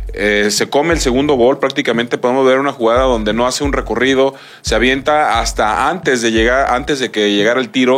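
At a moderate pace, a man speaks in an unremarkable speaking voice with medium pitch and ordinary pitch variation. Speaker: sports commentator. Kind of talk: sports talk show.

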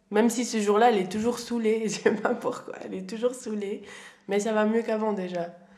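A woman talks at a fairly quick pace in a fairly high pitch, her intonation monotone and flat, with audible room echo. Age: 20s. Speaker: young woman sharing family story. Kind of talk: casual interview.

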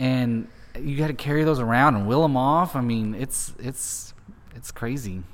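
In a normal speaking voice, a man talks at a medium pitch. His pace is moderate, with ordinary pitch variation. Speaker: podcast host. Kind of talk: casual interview.

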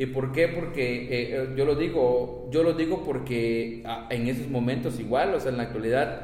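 At a moderate pace and fairly even intonation, a man speaks at medium pitch with audible room echo. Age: 30s. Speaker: teacher. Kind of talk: casual chat.

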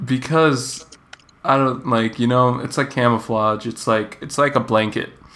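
An ordinary speaking voice goes at a fairly slow pace with fairly even intonation. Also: man, medium pitch for a man. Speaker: podcast host. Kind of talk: casual chat.

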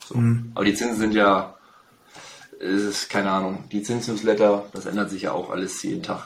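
Speech comes at a moderate pace, with noticeable background noise and audible echo from the room. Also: man, fairly low pitch for a man, fairly even intonation. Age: 30s. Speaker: real estate agent. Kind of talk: interview.

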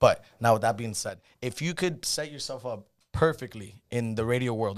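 A man talks in a normal speaking voice at medium pitch with ordinary pitch variation. The recording is very clean and the background silent. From Cuban-American, Miami. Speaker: podcast co-host. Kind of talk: casual chat. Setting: studio.

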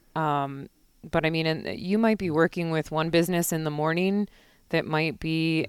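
This woman has a normal speaking voice with an American accent, fairly low in pitch and fairly even in intonation. She talks at a moderate pace on a very clean recording with a silent background. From Chicago suburbs, Illinois. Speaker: bank market president. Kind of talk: casual chat.

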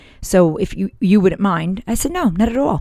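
A woman's normal speaking voice with an American accent, lively intonation and a moderate pace. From northern US. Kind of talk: devotional talk.

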